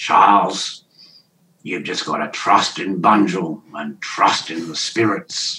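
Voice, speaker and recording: In a put-on character voice, a man speaks at a fairly slow pace, gravelly and very deep in pitch, with big swings in loudness. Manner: earnest, reassuring.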